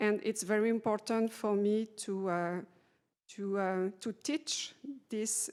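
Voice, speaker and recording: A woman with a non-native accent speaks fairly slowly at a fairly high pitch with ordinary pitch variation, in a very clean recording with a silent background. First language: French. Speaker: patient navigation specialist. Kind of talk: panel discussion. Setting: conference panel. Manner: halting.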